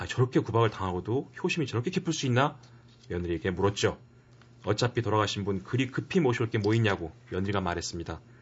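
A man speaks very fast in a fairly low, somewhat breathy voice with lively intonation. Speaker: professor, regular book recommender. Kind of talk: casual radio chat and book reading.

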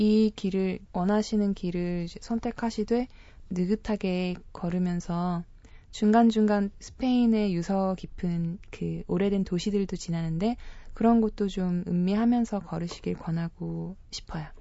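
Very slow, fairly even speech from a woman. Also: medium pitch for a woman. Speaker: travel guest, pilgrim. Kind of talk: radio interview.

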